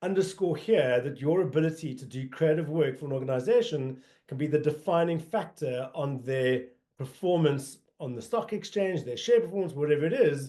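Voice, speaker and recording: Lively intonation from a man with a South African accent, fairly high-pitched, at a moderate pace. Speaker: marketing agency executive. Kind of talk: webinar presentation. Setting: online colloquium. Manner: frequent fillers (um, uh).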